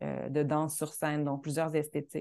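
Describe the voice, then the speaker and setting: With a Quebec accent, a woman speaks fairly slowly in a very deep, low, dark and mellow voice against a quiet background. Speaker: choreographer and dancer. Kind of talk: interview. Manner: halting, many repetitions.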